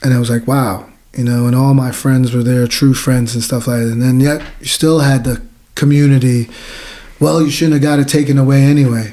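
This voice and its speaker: Speaking with an American accent, a man uses a dark, mellow tone at a medium pitch and a fairly quick pace. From New Jersey. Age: 40s. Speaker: war veteran. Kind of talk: interview. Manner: casual, animated storytelling.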